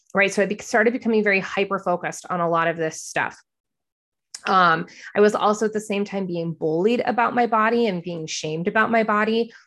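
There is a quiet background behind this woman. She has a plain, everyday voice at medium pitch, a fairly quick pace and ordinary pitch variation. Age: 40s. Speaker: podcast host. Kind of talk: personal monologue. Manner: casual, filler-heavy.

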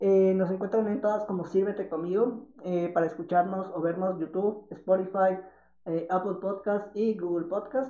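Speech at a moderate speed comes through noticeable background noise. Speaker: podcast co-host. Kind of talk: casual chat.

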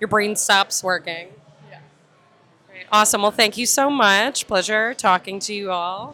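A woman speaks at a fairly slow pace with long, frequent pauses. Her tone is bright and sharp, and her loudness swings widely. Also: medium pitch for a woman, ordinary pitch variation. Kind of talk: casual banter, mic'd-up event chat. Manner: animated, laughing.

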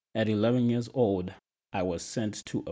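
In a Zimbabwean accent, a man speaks with a dark, mellow tone at a moderate pace. His pitch varies in an ordinary way, and the background is quiet. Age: 20s. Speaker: nutrition and fitness coach, podcast host. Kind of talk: personal monologue. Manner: soft-spoken.

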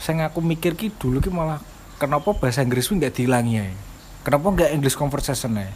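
Over noticeable background noise, a man talks at a very fast pace. His fairly high pitch carries lively intonation. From Java. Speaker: podcast co-host. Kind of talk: casual chat.

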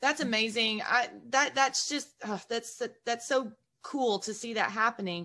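A woman talks in an ordinary speaking voice. Her pitch is fairly high, with ordinary variation. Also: fairly slow pace. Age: 40s. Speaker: podcast host and real estate agent. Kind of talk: casual interview.

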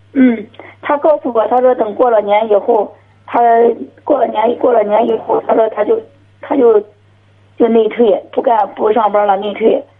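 Over noticeable background noise, a woman with a fairly high pitch speaks at a moderate pace with long, frequent pauses, fairly even intonation and very even loudness. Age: 40s. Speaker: caller. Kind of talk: phone-in call. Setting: phone call.

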